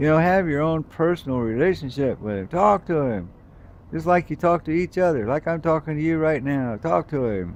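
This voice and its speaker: With an unremarkable speaking voice, a man talks at a moderate pace, his fairly high pitch carrying lively intonation. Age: 60s. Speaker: video blogger sharing faith. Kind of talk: casual vlog monologue. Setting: hotel room by window. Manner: rambling, conversational.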